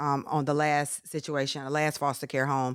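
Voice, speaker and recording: A woman speaks at a very deep, low pitch in a very clean recording with a silent background. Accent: North Carolina. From North Carolina, small town. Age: 30s. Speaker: author. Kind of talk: interview.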